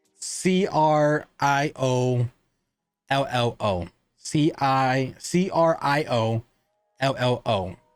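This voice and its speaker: A man at medium pitch with lively intonation, a very slow pace, long, frequent pauses, very even loudness and music in the background. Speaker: cigar reviewer. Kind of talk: casual review talk.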